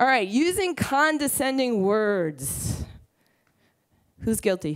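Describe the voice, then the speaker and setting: Over a quiet background, someone with an American accent speaks at a very slow pace, the pitch swinging very widely. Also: woman. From Brooklyn, New York. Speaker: entrepreneur. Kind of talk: conference talk. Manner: blunt, casual, profane. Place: stage. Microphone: headset.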